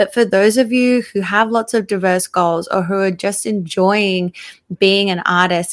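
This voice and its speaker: The recording is very clean, with a silent background. A woman speaks at medium pitch and a fairly slow pace. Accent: Australian. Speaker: podcast host and makeup artist. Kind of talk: casual chat.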